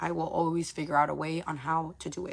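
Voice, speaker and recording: Animated in tone, a woman with a fairly low pitch and vocal fry talks at a fairly quick pace. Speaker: live streamer, content creator. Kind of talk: casual livestream monologue. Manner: fast, animated.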